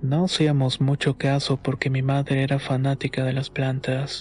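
Over background music, a man talks fairly slowly at a medium pitch with flat, monotone intonation. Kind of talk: first-person horror story narration, told as a personal memoir.

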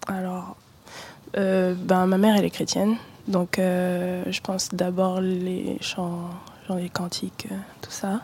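Very slow delivery with long, frequent pauses. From born in Douala, Cameroon; raised in Brittany. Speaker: singer and musician. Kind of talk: radio interview.

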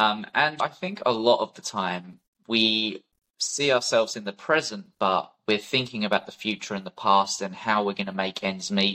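With a British accent, a man speaks at a moderate pace in a fairly low pitch, his bright, sharp tone showing ordinary pitch variation. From UK. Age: 20s. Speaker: war veteran and wildlife conservationist. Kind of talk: interview conversation.

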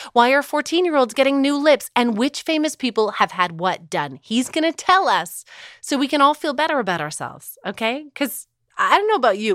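A woman with a high pitch speaks in an animated tone with very wide pitch swings. The recording is very clean and dry, with a close sound, no echo and a silent background. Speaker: podcast host. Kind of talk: casual comedic chat. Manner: animated, sarcastic.

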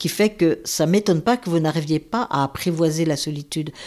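A woman speaks in a dark, mellow tone with ordinary pitch variation. The recording is very clean, with a silent background. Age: 70s. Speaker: former nun. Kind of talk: personal testimony. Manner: hesitant, with fillers and repetitions.

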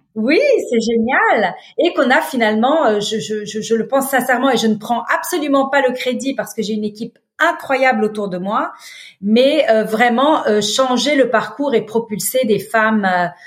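A woman speaks at a fairly slow pace with a fairly high pitch. Her pitch variation is ordinary. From Lebanon. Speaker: business leader and nonprofit founder. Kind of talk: interview. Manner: hesitant fillers.

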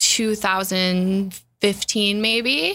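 A woman's bright, sharp voice in a rural Canadian accent, with fairly even intonation. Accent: Canadian English with rural twang. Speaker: podcast co-host. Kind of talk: casual chat.

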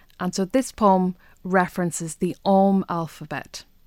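On a very clean recording with a silent background, a woman with a Donegal accent speaks very slowly at a medium pitch with fairly even intonation. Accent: Donegal Irish. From Donegal Gaeltacht, Ireland. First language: Irish. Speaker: poet. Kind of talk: interview.

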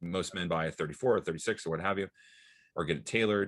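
Over a quiet background, a man with an American accent talks in a very deep, low pitch with ordinary pitch variation. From Iowa, US Midwest. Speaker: menswear designer. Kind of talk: interview. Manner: casual, with many fillers.

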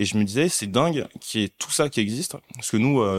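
A man with an unremarkable speaking voice talks fairly quickly at a medium pitch with ordinary pitch variation, the sound dry and close with no echo. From Paris region, born in Mali. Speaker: content creator and investor. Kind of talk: casual interview.

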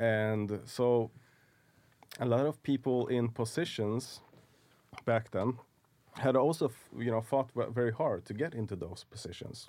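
A man with a Swedish accent speaks at a fairly slow pace in a medium pitch, with a dark, mellow tone, ordinary pitch variation and long, frequent pauses. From Sweden, Stockholm suburbs. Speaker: film and TV producer. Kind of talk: interview.

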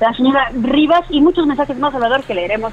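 Noticeable background noise behind a woman talking with ordinary rises and falls in pitch. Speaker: radio co-host. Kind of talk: reading listener messages.

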